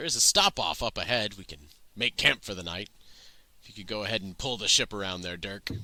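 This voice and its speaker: On a very clean recording with a silent background, a man puts on a raspy, fairly low-pitched character voice, speaking fairly quickly with ordinary pitch variation and big swings in loudness. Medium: actual play. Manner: relaxed, wry.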